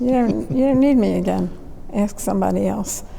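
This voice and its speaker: A woman speaks at a fairly quick pace. Noticeable background noise sits behind her. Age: 80s+. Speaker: artist and curator. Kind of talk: conversation.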